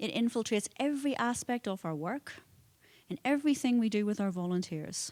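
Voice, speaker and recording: At a fairly quick pace, a woman speaks in a Northern Irish accent with a fairly high pitch. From Northern Ireland, Belfast. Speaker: conference speaker, nonprofit foundation president. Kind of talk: conference talk. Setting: conference hall with audience.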